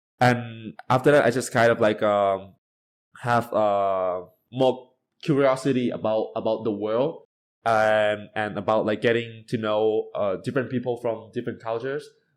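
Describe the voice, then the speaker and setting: On a very clean recording with a silent background, a man speaks at a moderate pace and medium pitch with fairly even intonation. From Thailand. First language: Thai. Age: 20s. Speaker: university student, polyglot. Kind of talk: podcast interview.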